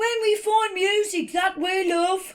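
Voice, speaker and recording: A woman puts on a squeaky character voice at an extremely high pitch. Her pace is fairly slow. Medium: read story.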